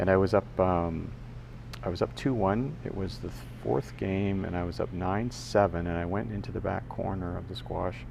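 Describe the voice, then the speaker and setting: A man's very deep, low voice with very wide pitch swings, a moderate pace and audible room echo. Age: 60s. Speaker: podcaster. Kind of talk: casual monologue. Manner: halting, many fillers and restarts.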